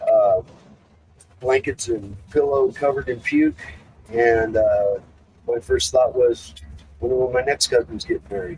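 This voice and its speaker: A man talks at a fairly slow pace. Long pauses come often. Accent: American. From US Pacific Northwest, Seattle. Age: 60s. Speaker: person in addiction recovery. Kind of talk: personal testimony. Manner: halting, many fillers.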